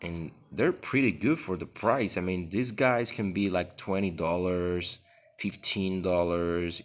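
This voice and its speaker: A man speaks with a non-native accent. His pitch is very deep and low, and his pace fairly slow. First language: not English. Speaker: unboxing video host. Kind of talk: product review. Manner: halting.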